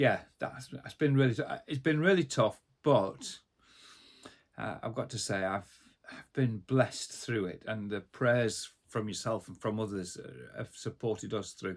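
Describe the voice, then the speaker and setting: At a fairly slow pace, a man of medium pitch speaks with ordinary pitch variation and big swings in loudness. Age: 60s. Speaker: Methodist minister. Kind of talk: casual interview. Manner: hesitant, many fillers.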